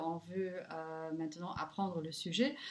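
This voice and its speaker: A woman with a Luxembourgish accent at a moderate pace. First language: Luxembourgish (speaking French). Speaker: language teacher. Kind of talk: interview. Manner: halting.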